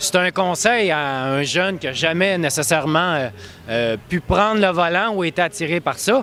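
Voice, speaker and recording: Over noticeable background noise, a man with a high voice speaks at a moderate pace and with lively intonation. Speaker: automotive journalist. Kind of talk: interview.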